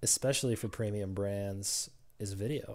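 In a plain, everyday voice, a man speaks at a moderate pace with a fairly low pitch and fairly even intonation on a very clean recording with a silent background. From Ukraine, raised in US (Georgia). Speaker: automotive digital business consultant. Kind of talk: casual interview.

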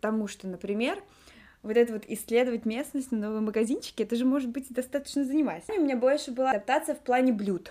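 A woman speaks at a very fast pace in a high pitch with ordinary variation. Her tone is dark and mellow. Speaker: podcast co-host. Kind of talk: casual chat. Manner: talkative.

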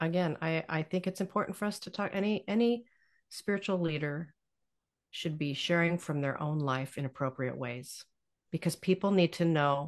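An ordinary speaking voice moves at a moderate pace with ordinary pitch variation over a quiet background. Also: woman. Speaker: author and spiritual director. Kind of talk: interview, sharing life story.

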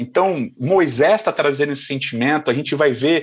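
A man with a normal speaking voice talks at a moderate pace. His pitch is fairly high and his intonation lively. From Rio de Janeiro, Brazil. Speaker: pastor. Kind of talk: casual interview chat.

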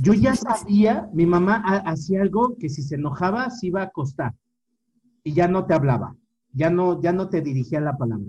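At a moderate pace, a man with a Mexican accent talks in a high pitch with lively intonation. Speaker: podcast co-host. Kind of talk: casual chat.

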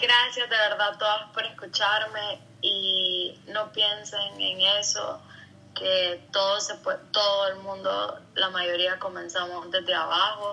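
Noticeable background noise runs behind the speech. A woman talks at a very slow pace. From Honduras, San Pedro Sula. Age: 30s. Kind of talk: interview.

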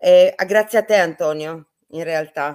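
A woman with a fairly low pitch speaks at a very slow pace, the sound dry and close with no echo. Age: 50s. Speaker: medium. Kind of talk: interview.

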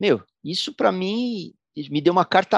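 In a dry, close recording with no echo and a quiet background, a man talks at a fairly slow pace with lively intonation. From São Paulo, Brazil. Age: 60s. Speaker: musician. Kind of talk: interview storytelling.

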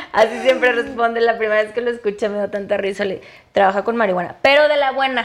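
A woman with a fairly high voice speaks very fast with fairly even intonation over noticeable background noise. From Mexico, Chihuahua. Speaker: cannabis entrepreneur and activist. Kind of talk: interview.

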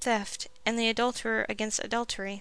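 Her voice sits fairly high and moves at a moderate pace. The woman is heard in a very clean recording with a silent background. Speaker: podcast host and audiobook narrator. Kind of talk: scripted narration, reading aloud a 19th-century memoir.

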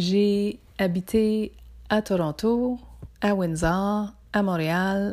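Calm and dark, mellow in tone, a woman speaks at a very slow pace with a medium pitch and fairly even intonation in a very clean recording with a silent background. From northern Ontario (Témiscamingue). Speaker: psychotherapist and podcast host. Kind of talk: podcast introduction.

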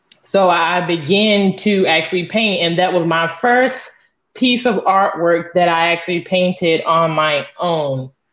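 A woman with an American accent speaks in a plain, everyday voice, her pitch fairly low and its variation ordinary. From northeast Florida. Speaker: abstract artist. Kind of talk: interview.

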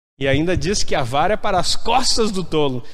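A man is speaking with ordinary pitch variation. Audible room echo surrounds his voice. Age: 40s. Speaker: pastor. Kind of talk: sermon. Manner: animated.

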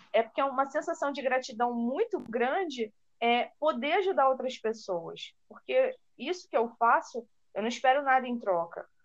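At a moderate pace, a woman talks in a high voice with lively intonation. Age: 20s. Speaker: teacher and content creator. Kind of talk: casual interview chat.

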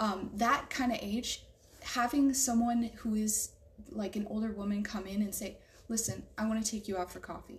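Somewhat breathy, a woman with an American accent speaks in a fairly high pitch. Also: fairly even intonation, moderate pace. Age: 20s. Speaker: artist and EMT student. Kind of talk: spoken prayer; casual faith conversation.

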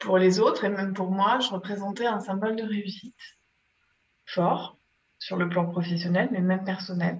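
A woman speaks at a moderate pace and medium pitch in a flat monotone, with long, frequent pauses. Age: 50s. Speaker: innovation and digital transformation expert. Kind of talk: interview. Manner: hesitant, many filler pauses.

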